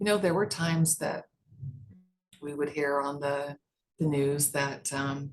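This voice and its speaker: In an American accent, a woman speaks with a very deep, low pitch and fairly even intonation. Her pace is fairly slow, broken by long, frequent pauses. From US West, Las Vegas, Nevada. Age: 60s. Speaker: judge running for re-election. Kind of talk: interview.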